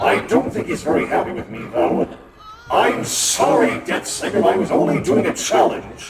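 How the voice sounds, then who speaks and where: A man does a put-on character voice at a high pitch. Loud background noise and a clear echo fill the recording. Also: moderate pace. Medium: game stream. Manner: formal, clipped, dry.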